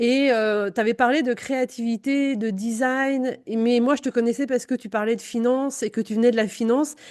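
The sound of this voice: The voice has a slightly mellow tone and fairly even intonation. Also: woman, fairly high pitch for a woman, moderate pace.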